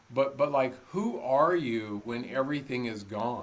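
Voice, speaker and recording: A man's voice swings very widely in pitch, with noticeable background noise behind it. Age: 60s. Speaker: ultramarathon runner and motivational speaker. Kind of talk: interview conversation.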